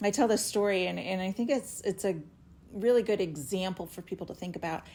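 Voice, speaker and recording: A woman of medium pitch speaks at a fairly quick pace in an enthusiastic tone, with ordinary pitch variation. The recording is very clean, with a silent background. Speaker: retired air force reservist. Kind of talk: podcast interview, casual chat. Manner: loud.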